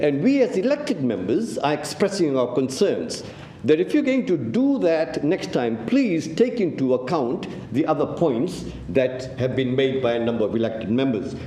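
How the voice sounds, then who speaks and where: Pitch swings very widely at a moderate pace, with noticeable background noise and audible room echo. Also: man, fairly high pitch for a man. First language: not English. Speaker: city councillor. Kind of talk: council meeting debate speech. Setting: council chamber meeting.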